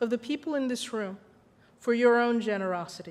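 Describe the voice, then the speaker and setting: A woman speaks with ordinary pitch variation. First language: Spanish. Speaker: corporate diversity executive, award honoree. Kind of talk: acceptance speech. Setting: reception with audience. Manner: formal.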